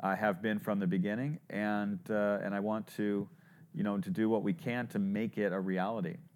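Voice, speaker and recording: Here a man in an unremarkable speaking voice keeps a fairly low pitch, a moderate pace and very even loudness. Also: ordinary pitch variation, very clean recording, silent background. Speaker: podcast host, startup advisor. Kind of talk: interview.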